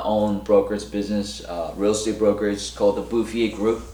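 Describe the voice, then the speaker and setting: A man with a Korean accent and fairly even intonation, amid noticeable background noise and audible room echo. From South Korea. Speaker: real estate broker. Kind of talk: casual monologue to camera. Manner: halting, many fillers and restarts.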